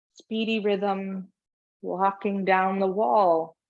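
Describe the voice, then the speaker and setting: Here a woman talks at a medium pitch. The background is quiet. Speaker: movement instructor. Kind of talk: guided movement class. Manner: slow.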